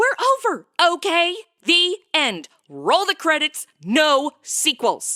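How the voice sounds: A woman uses a put-on character voice with high pitch, big pitch swings and a bright, sharp tone. She speaks at a slow pace in a dry, close sound with no echo.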